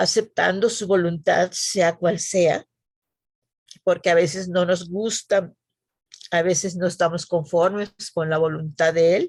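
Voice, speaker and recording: A woman with a fairly low voice talks at a very slow pace, leaving long, frequent pauses. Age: 80s+. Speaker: church member. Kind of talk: testimony.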